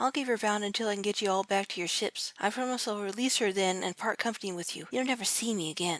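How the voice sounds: The voice has ordinary pitch variation. It is a natural reading voice.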